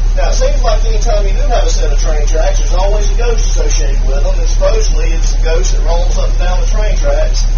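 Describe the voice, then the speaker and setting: A man talks at a very fast pace with an extremely high pitch, hardly any pauses and very even loudness over noticeable background noise. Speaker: ghost tour guide. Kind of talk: ghost tour narration. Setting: trolley.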